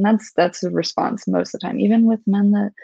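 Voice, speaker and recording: A woman's voice, dry with no echo, over a quiet background. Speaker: book club co-host. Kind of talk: book discussion. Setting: live stream. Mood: warm, appreciative. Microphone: video call.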